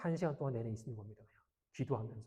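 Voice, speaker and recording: Talking at a very fast pace, a man sounds somewhat breathy. His tone is dark and mellow. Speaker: pastor. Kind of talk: sermon.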